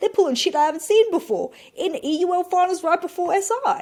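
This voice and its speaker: Here a woman talks in an animated tone. She speaks with an Australian accent. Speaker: esports caster and content creator. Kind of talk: casual podcast chat.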